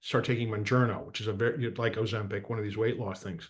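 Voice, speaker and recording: Male speech in an ordinary speaking voice, medium in pitch with ordinary variation. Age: 60s. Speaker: political and economic commentator.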